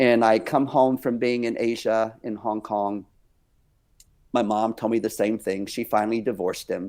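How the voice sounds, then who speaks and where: Delivered at a moderate pace in a Texan accent, the speech has monotone, flat intonation on a very clean recording with a silent background. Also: man, medium pitch for a man. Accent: Texan American. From Texas. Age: 60s. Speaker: dance company director and minister. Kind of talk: interview testimony. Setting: podcast interview.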